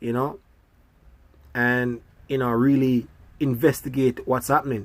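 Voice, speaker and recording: The speaker has a Jamaican accent and talks at a fairly slow pace. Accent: Jamaican English with patois features. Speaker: school bus driver and video blogger. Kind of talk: casual monologue. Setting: sitting in a parked school bus.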